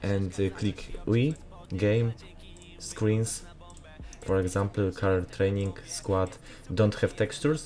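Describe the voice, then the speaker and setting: Music plays in the background as a man speaks at a very slow pace with long, frequent pauses. His pitch is fairly low and his loudness very even. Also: ordinary pitch variation. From Poland. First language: Polish. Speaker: gaming graphics content creator. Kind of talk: tutorial. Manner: halting, many filler sounds.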